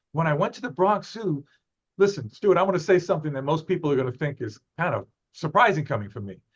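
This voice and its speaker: A man speaks at a fairly quick pace. His fairly high voice has lively intonation. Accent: New York. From New York. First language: Spanish. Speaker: zoo ambassador and wildlife photographer. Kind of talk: interview. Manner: animated.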